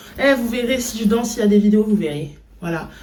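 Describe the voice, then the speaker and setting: A woman's fairly high voice with ordinary pitch variation and audible room echo. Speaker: vlogger, dancer. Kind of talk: vlog. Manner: fast; animated.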